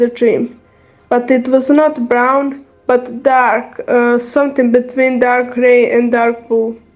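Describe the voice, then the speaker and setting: At a very slow pace, the speaker talks in a Croatian accent with monotone, flat intonation. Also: woman. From Bosnia and Herzegovina. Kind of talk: testimony read aloud from notes. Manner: halting.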